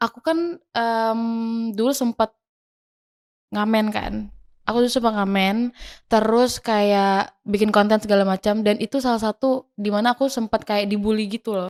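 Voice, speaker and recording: Fairly high in pitch, a woman speaks at a moderate pace with fairly even intonation and long, frequent pauses, the sound dry and close with no echo. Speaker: singer. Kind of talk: interview answer. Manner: calm.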